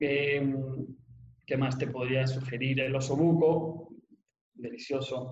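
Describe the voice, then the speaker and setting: A somewhat breathy man speaks very slowly at a medium pitch in a flat monotone, with long, frequent pauses. Audible room echo surrounds his voice. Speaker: restaurant project director. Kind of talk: interview. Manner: halting, many repetitions and fillers.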